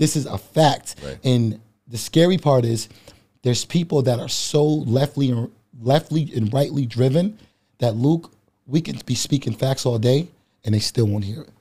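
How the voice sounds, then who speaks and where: His voice dark, mellow and somewhat breathy, a man speaks at a moderate pace with ordinary pitch variation. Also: medium pitch for a man. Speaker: bodybuilder and public speaker. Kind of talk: casual chat. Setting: studio.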